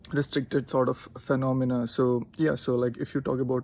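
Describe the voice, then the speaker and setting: Medium-pitched and fairly even in intonation, a man speaks. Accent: Indian. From India. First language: Telugu. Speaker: linguist. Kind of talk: casual talk to camera.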